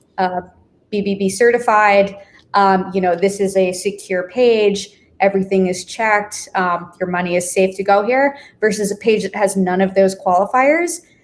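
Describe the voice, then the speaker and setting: Fairly even in intonation, a woman talks at a moderate pace and medium pitch in a normal speaking voice. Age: 20s. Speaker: affiliate marketing manager. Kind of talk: live stream interview.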